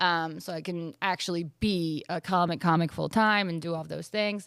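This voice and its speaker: A woman's fairly low voice with an American accent, fairly even intonation and a moderate pace, on a very clean recording with a silent background. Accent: Philadelphia accent, mostly trained away. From Philadelphia area, US. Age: 30s. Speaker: comedian. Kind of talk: casual chat.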